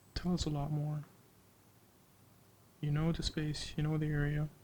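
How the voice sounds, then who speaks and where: A somewhat breathy man with a fairly high voice speaks at a fairly slow pace, pausing long and often. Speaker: photographer. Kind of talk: tutorial. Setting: indoors. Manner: calm, not raising voice.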